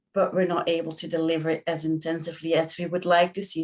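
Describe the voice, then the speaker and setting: A woman speaks in a Belgian accent at a fairly low pitch. Her pace is fairly quick. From Belgium. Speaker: physiotherapist. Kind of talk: panel discussion.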